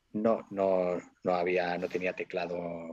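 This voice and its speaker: A man talks at a very deep, low pitch. The sound is dry with no echo. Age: 40s. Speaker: DJ and cook; DJ. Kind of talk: casual interview; interview answer. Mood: nostalgic storytelling.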